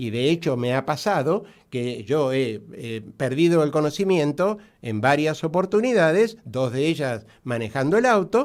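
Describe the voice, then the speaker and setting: Very wide pitch swings at a fairly slow pace. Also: man, fairly high pitch for a man. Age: 60s. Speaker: doctor specializing in diabetes. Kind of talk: radio interview. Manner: halting, many fillers.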